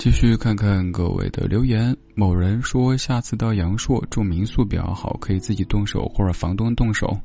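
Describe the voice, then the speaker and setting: Over music in the background, a man with a fairly low pitch speaks at a moderate pace, with ordinary pitch variation and hardly any pauses. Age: 30s. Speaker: late-night radio host. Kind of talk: casual chat. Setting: hotel room remote broadcast.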